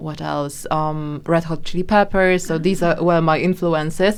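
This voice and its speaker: Speaking in a Polish accent, a woman keeps a monotone, flat intonation. Her voice is fairly low and her pace fairly slow. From Poland. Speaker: singer-songwriter. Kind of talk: interview. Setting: studio. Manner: halting.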